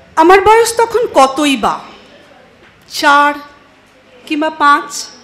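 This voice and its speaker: Through noticeable background noise, a woman speaks at a high pitch with lively intonation. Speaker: poetry reciter. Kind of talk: poetry reading.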